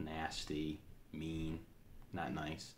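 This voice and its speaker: A man speaks with audible echo from the room. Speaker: aspiring motivational speaker. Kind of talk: motivational talk. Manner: halting, frequent fillers and repeated words.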